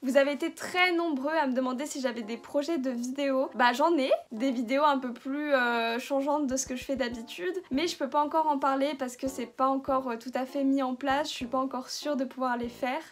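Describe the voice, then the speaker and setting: Speaking at a high pitch, a woman keeps a fairly quick pace with hardly any pauses and fairly even intonation. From France. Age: 20s. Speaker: YouTuber. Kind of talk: casual Q&A vlog.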